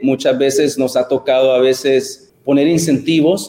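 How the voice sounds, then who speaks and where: Using an unremarkable speaking voice, a man talks fairly slowly at a fairly high pitch. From El Salvador. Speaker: educator. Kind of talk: interview.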